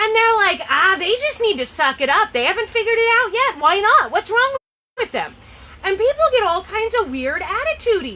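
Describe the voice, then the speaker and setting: At an extremely high pitch, a woman speaks fairly quickly in a raised, projected voice, her tone animated and her pitch swinging very widely. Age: 30s. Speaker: shop owner hosting a live sales show. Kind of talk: live stream product chat. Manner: loud.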